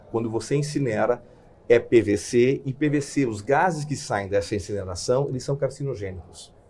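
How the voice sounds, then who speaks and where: At a moderate pace, a man speaks in a medium-pitched, somewhat breathy voice with a dark, mellow tone and ordinary pitch variation. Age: 50s. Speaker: corporate executive. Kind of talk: interview. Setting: studio.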